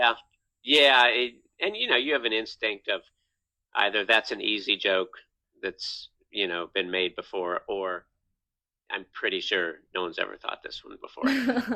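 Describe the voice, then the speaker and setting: With an American accent, a man speaks at a moderate pace with long, frequent pauses. The sound is dry and close, with no echo. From Virginia, US. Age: 50s. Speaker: comedian. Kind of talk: casual interview. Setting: podcast.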